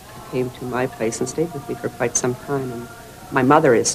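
Over clear background music, a woman speaks in a very deep, low voice with fairly even intonation. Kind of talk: interview answer, anecdote. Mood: warm, lightly humorous. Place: office.

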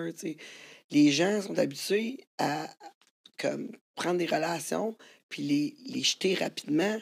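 A woman with a Quebec accent speaks very slowly, with long, frequent pauses and vocal fry. Her fairly low pitch swings very widely. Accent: Québécois French. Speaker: podcast host. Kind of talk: casual chat.

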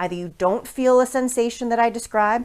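Her intonation is lively. The woman talks at a fairly quick pace. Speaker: fitness instructor. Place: home room.

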